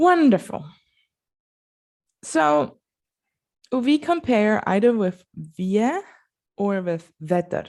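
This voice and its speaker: In a Basel accent, a woman at medium pitch talks at a very slow pace, with very wide pitch swings and long, frequent pauses. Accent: Swiss German (Basel) accent in English. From Switzerland, Basel. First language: Swiss German. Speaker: language teacher. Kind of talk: tutorial. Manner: casual, conversational.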